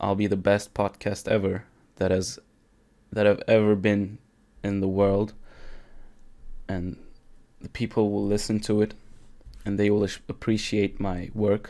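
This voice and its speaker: A fairly slow, monotone and flat delivery in a Turkish accent, broken by long, frequent pauses. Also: man, fairly low pitch for a man. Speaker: podcaster. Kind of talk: casual solo monologue. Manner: casual, with fillers and self-corrections.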